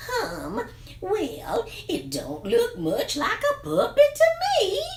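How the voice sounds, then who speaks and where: The speaker uses a put-on character voice at a very slow pace. Clear background noise can be heard. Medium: read story. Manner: doubtful, drawling.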